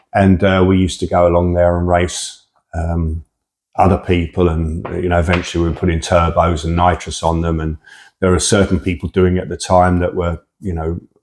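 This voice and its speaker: A man with a southern English accent speaks fairly quickly at a very deep, low pitch in a monotone, flat intonation. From England, Hertfordshire. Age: 60s. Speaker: drag racer. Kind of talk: interview. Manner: casual, hesitant with fillers.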